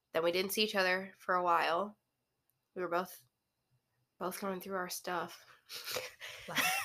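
A woman speaks at a moderate pace in a bright, sharp tone, with monotone, flat intonation. Her speech has long, frequent pauses. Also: medium pitch for a woman. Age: 20s. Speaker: podcast host. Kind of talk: casual chat.

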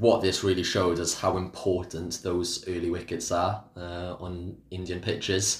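In a Welsh accent, a man speaks with a very deep, low pitch and monotone, flat intonation. His somewhat breathy delivery moves at a moderate pace with hardly any pauses. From Wales. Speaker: cricket pundit. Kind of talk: casual chat.

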